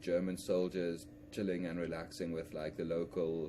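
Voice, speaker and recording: A man speaks in a South African accent at a moderate pace. His pitch is very deep and low. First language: Afrikaans. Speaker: history vlogger, musician. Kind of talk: unscripted educational monologue. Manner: halting, frequent repetitions and restarts.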